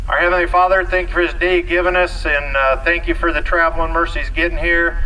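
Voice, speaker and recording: A man talks over noticeable background noise. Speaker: auctioneer. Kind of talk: casual announcements and opening prayer to the crowd. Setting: outdoors, live farm auction crowd. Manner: relaxed, friendly, conversational.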